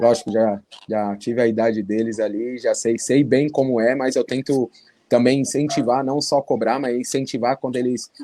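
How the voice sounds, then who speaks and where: Dark and mellow in tone, a man talks at a moderate pace and medium pitch with fairly even intonation. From São Paulo metro area, Carapicuíba. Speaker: futsal player. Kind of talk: interview.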